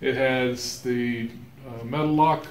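A man speaks with fairly even intonation, and room echo can be heard. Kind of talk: casual tutorial explanation. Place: garage. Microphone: phone near.

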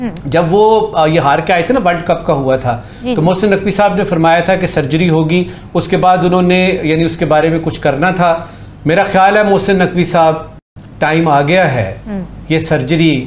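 A man speaks at a high pitch over light background noise. Audible room echo is present. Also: ordinary pitch variation, moderate pace. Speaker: panelist. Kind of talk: TV panel commentary. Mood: critical, earnest. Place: studio. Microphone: lapel.

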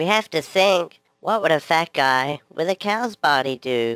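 A man uses a cartoonish character voice at a fairly high pitch with lively intonation. The sound is dry and close with no echo. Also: moderate pace. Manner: slow, naive, cheerful.

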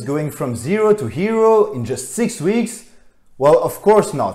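A man at a moderate pace, very wide pitch swings, quiet background. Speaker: fitness vlogger. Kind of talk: personal story vlog. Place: home room.

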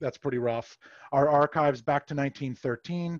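A man talks at a moderate pace with fairly even intonation. The background is quiet and the sound is dry with no echo. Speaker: presenter. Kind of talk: presentation. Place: home room. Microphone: headset.

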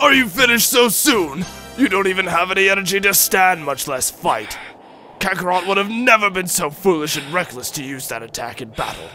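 Over clear music in the background, a man puts on a cartoonish character voice, pitched high and raised and projected, at a fairly quick pace. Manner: taunting, menacing, arrogant.

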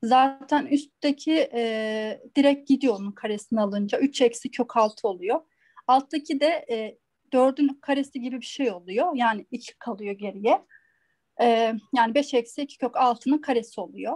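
In a dry, close sound with no echo, a high-pitched woman talks fairly slowly, her pitch varying in an ordinary way. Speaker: student. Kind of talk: explaining a solution. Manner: halting.

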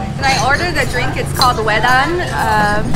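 A woman talks at a moderate pace while clear music sounds behind her. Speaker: food vlogger. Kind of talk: casual vlog chat. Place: cafe. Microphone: phone near.

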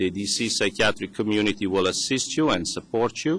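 With a non-native accent, a man speaks. His pitch is fairly low. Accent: foreign. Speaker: psychiatrist. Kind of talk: testimony. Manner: formal.

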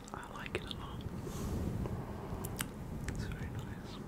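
Whispering and soft-spoken, a man talks at a fairly slow pace. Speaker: ASMR creator. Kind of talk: soft whispered ASMR talk. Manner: soft close-mic ASMR whisper. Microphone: studio mic.

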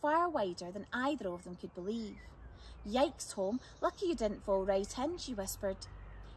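Delivered with lively intonation, this is an unforced reading voice.

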